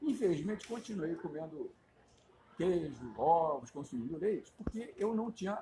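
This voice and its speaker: A man's high pitch with lively intonation at a fairly slow pace. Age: 70s. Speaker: vegan activist, social media creator. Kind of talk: interview testimony and explanation.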